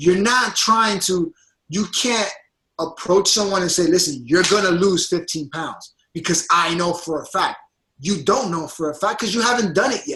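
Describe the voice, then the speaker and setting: A man speaks in a raised, projected, high voice with an animated tone. His pace is moderate and his pitch variation ordinary. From Puerto Rican background, US. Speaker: fitness coach. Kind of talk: motivational coaching call.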